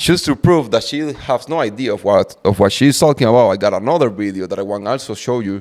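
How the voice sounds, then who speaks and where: A man with a Cuban accent speaks at a medium pitch with lively intonation. The recording is very clean and the background silent. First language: Spanish. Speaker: truck driver and podcaster. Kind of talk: commentary video explaining economics. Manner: repetitive, halting.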